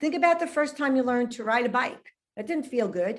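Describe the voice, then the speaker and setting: Here a woman speaks in a New York accent. Her pitch is high and her intonation lively. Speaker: relationship expert and author. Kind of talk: casual interview chat.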